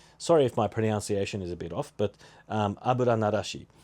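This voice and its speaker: A man with an Australian accent and a dark, mellow tone, at a fairly quick pace. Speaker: podcast host. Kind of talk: casual solo podcast talk.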